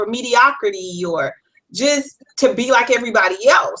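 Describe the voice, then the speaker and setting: A woman speaks with a slight Southern US accent in a high pitch. Her tone is bright and sharp, with ordinary pitch variation. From US South, South Carolina (Florence). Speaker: life coach. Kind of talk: interview.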